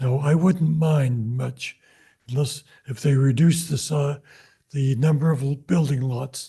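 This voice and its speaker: A man's fairly high voice, dark and mellow in tone, somewhat breathy, with ordinary pitch variation and a fairly slow pace. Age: 80s+. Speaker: public commenter. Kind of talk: public comment at council meeting. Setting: city council meeting.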